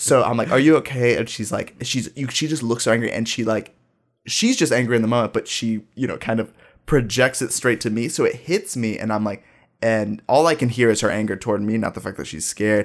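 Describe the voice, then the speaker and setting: In a very clean recording with a silent background, a man with an American accent speaks at a fairly quick pace. He has a normal speaking voice, a medium pitch and ordinary pitch variation. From US Midwest, Dayton, Ohio. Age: 20s. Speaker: high school teacher. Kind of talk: casual chat.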